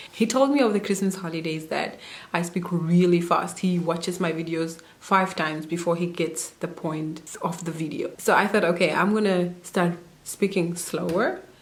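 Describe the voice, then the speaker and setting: Amid audible room echo and noticeable background noise, a woman talks at a moderate pace with a fairly low pitch and fairly even intonation. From Namibia. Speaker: au pair vlogger. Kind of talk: casual vlog advice talk.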